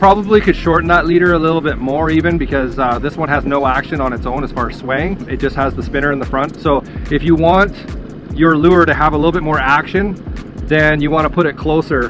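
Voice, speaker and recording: A man's fairly quick speech with ordinary pitch variation, dry with no echo, over clear music in the background. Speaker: fishing channel host. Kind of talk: tutorial. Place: boat. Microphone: phone near.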